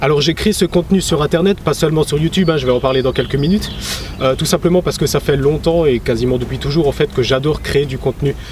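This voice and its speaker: Over noticeable background noise, a man with an Alsatian accent talks very fast at a fairly high pitch, with ordinary pitch variation. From Alsace, France. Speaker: YouTuber, history and travel channel. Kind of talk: vlog presentation. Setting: outdoors at castle ruins, early morning. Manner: casual, with hesitations.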